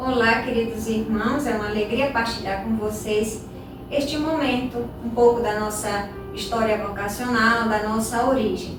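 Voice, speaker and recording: Amid noticeable background noise and audible room echo, a woman with a fairly high voice speaks at a fairly slow pace with fairly even intonation. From Brazilian Northeast, Rio Grande do Norte. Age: 20s. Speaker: novice nun. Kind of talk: casual chat.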